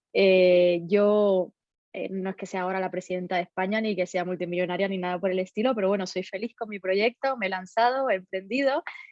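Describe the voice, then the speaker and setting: A woman talks at a fairly quick pace and a medium pitch. Her intonation stays fairly even. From Cuba. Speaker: data protection lawyer and entrepreneur. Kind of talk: interview. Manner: halting.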